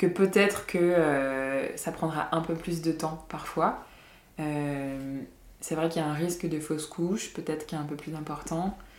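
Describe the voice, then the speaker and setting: A woman speaks at a fairly slow pace with very deep, low pitch. Audible room echo surrounds her voice. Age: 30s. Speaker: massage therapist and singer. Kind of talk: casual interview. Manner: halting.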